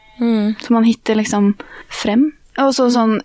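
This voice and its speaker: A woman speaks with a Norwegian accent at a fairly high pitch and fairly even intonation. The sound is dry and close, with no echo. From Norway. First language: Norwegian (speaking Swedish). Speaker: university student. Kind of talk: casual chat.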